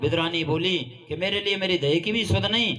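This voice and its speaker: A man talks over noticeable background noise. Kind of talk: devotional kathā narration of a Krishna story.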